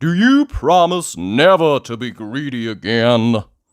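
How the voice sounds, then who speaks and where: A man performs a put-on character voice at medium pitch and a fairly slow pace. The recording is very clean, with a silent background. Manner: stern.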